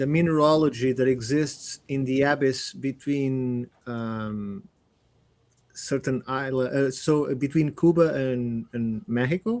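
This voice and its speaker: A man speaks at a medium pitch with a non-native accent. His pitch varies in an ordinary way. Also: fairly slow pace. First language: not English. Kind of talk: panel discussion. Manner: halting.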